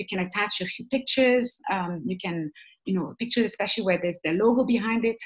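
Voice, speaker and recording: Somewhat breathy, a woman of medium pitch talks at a fairly quick pace with ordinary pitch variation. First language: not English (English is third language). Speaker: webinar trainer. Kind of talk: online training webinar. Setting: webinar. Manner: hesitant, many fillers.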